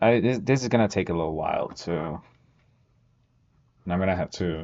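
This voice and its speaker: A man speaks with a non-native accent in a very deep, low pitch. His pitch variation is ordinary. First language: not English. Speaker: student streamer. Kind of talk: study-with-me tutorial. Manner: casual, thinking aloud.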